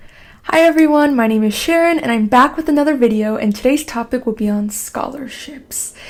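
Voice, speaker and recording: A high-pitched woman's voice at a moderate pace, ordinary pitch variation, noticeable background noise. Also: hardly any pauses. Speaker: scholarship advice YouTuber, student. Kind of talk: tutorial. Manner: soft-spoken; casual, filler-heavy.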